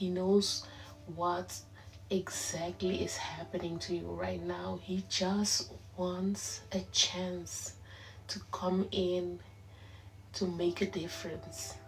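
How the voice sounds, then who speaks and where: Through noticeable background noise and audible room echo, the speech comes at a very slow pace in a Curaçao accent, with long, frequent pauses. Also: woman. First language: Papiamento. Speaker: online prayer leader. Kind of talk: livestream prayer and exhortation. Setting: live stream. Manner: simple, careful English.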